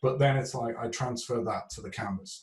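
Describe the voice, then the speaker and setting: Moderate in pace, the delivery moves along evenly. Breath is somewhat audible in the voice. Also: man. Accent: strong British. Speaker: artist. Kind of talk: interview. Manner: hesitant, many fillers.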